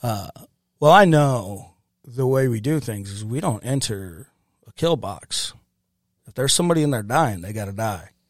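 A man with a Midwestern American accent and medium pitch talks at a moderate pace with lively intonation and long, frequent pauses, in a very clean recording with a silent background. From US Midwest, St. Louis area (Ferguson, Missouri). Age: 30s. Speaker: war veteran. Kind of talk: casual interview.

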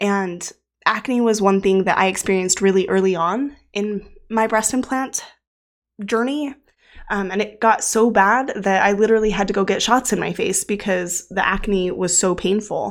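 On a very clean recording with a silent background, a woman with an ordinary speaking voice talks at a moderate pace with medium pitch and fairly even intonation. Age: 30s. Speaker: podcast host. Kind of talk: solo podcast monologue.

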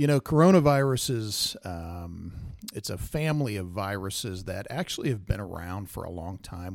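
Speaking with an American accent and a plain, everyday voice, a man with fairly low pitch talks at a moderate pace with ordinary pitch variation in a very clean recording with a silent background. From Kansas. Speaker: emergency physician. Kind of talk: casual chat.

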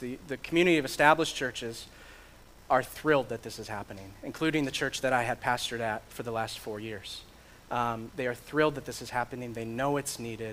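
A man with an American accent talks at a fairly quick pace. He has an ordinary speaking voice with ordinary pitch variation. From Michigan. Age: 30s. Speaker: pastor and church planter. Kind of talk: sermon.

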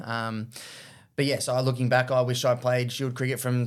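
In a very clean recording with a silent background, a man with a medium-pitched voice and an Australian accent speaks at a moderate pace in a flat monotone. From Australia, Victoria. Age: 30s. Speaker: former professional cricketer. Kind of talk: interview.

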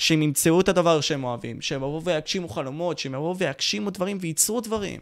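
A man talks at a fairly quick pace with lively intonation. His tone is animated. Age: young. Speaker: youtuber and podcast host. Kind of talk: live stream Q&A.

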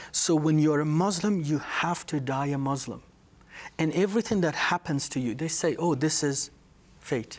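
A man with a Persian accent talks at a moderate pace. His pitch is fairly high, with ordinary variation. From Iran, Tehran. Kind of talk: testimony.

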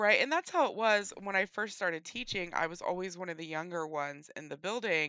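With an ordinary speaking voice, a woman talks at a fairly quick pace and medium pitch, with ordinary pitch variation, big swings in loudness and hardly any pauses. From West Virginia. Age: 40s. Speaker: podcast co-host. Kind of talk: casual chat.

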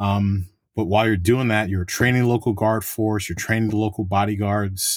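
A man speaks with an American accent at a moderate pace, in a fairly low voice with fairly even intonation. He has an ordinary speaking voice, and the recording is very clean with a silent background. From New York. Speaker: federal agent. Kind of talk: interview.

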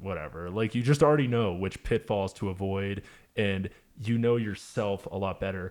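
On a very clean recording with a silent background, a man speaks in a normal speaking voice, fairly low in pitch with ordinary pitch variation. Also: moderate pace. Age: 30s. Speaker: musician. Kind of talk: casual chat.

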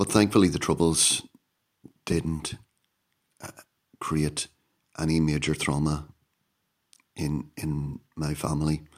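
A man with a Northern Irish accent, very deep and low in pitch, monotone and flat, at a very slow pace with long, frequent pauses. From Northern Ireland, County Down. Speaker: podcast host. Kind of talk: solo monologue podcast. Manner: halting.

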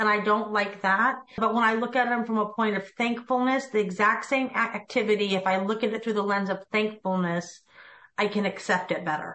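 This woman has an ordinary speaking voice, fairly high in pitch, with ordinary pitch variation and a moderate pace. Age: 50s. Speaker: real estate team leader and coach. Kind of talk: interview.

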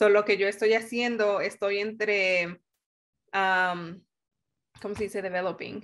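Against a quiet background, the speaker talks fairly slowly with a Mexican accent, a monotone, flat intonation and long, frequent pauses. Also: woman, medium pitch for a woman. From Mexico. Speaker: engineer. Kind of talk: interview.

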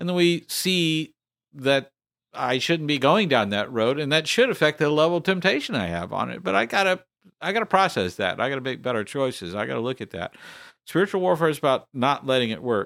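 A man's fairly high voice at a fairly quick pace, with very wide pitch swings and a very clean recording over a silent background. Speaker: ministry founder. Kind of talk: casual chat.

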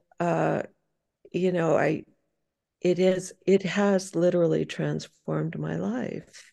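Pausing long and often, a woman talks at a very slow pace. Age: 70s. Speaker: artist. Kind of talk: casual interview chat. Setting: video call.

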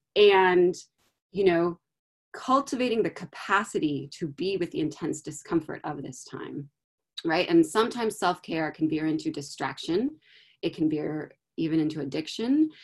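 A woman with a plain, everyday voice, fairly low in pitch, at a moderate pace with lively intonation. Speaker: guest speaker on sustaining through crisis. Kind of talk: panel discussion. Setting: video call.

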